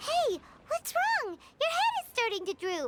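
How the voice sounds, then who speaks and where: This is a put-on character voice, squeaky and extremely high-pitched. It moves at a moderate pace. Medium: video game. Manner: soft, affectionate.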